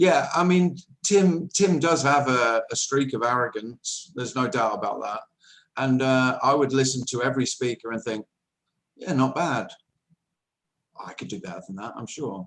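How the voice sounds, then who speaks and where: With an English accent, a man speaks at a moderate pace and medium pitch, using lively intonation, big swings in loudness and long, frequent pauses. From England. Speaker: nonduality speaker. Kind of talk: spiritual talk answering question.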